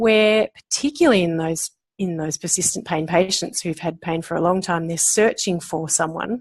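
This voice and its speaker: In an Australian accent, a woman talks at a moderate pace and medium pitch. Her intonation is lively. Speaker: osteopath and pain management lecturer. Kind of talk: interview.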